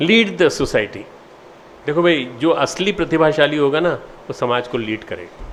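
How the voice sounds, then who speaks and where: A man is speaking. His pitch swings very widely. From India, Madhya Pradesh. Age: 60s. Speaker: spiritual leader. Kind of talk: address to students. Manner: halting.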